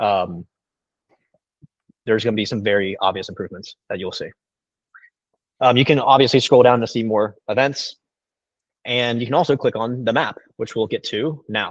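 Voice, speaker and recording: This man's voice sits at a medium pitch with ordinary pitch variation, broken up by long, frequent pauses. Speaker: software product presenter. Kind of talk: product demo; Q&A answer. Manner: fast.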